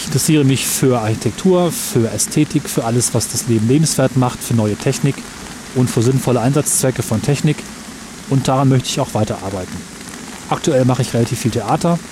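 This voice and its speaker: A man talks fairly quickly, his pitch varying in an ordinary way, as noticeable background noise continues. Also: medium pitch for a man. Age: 30s. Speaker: podcaster. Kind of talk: personal monologue recorded outdoors. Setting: outdoors in a park by a waterfall, under an umbrella.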